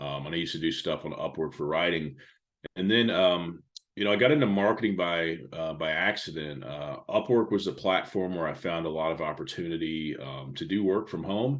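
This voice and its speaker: Ordinary pitch variation at a fairly quick pace. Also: man, very deep, low pitch for a man. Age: 40s. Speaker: digital marketing consultant and speaker. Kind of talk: podcast interview. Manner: casual with many fillers.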